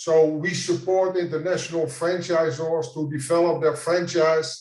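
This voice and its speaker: A man with a Dutch accent speaks fairly slowly at a fairly high pitch, with monotone, flat intonation. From Netherlands. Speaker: franchise consultant. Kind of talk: conference presentation. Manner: halting.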